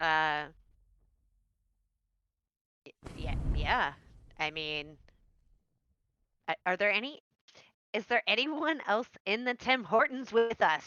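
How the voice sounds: A woman speaks at a slow pace with long, frequent pauses, her medium-pitched voice fairly bright and clear, smooth in tone, with lively intonation.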